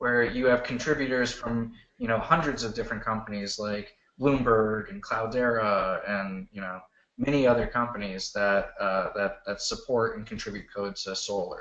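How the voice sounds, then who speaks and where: Talking at a moderate pace, a man with an unremarkable speaking voice shows ordinary pitch variation. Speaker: search engine expert. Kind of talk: technical presentation Q&A. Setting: video call.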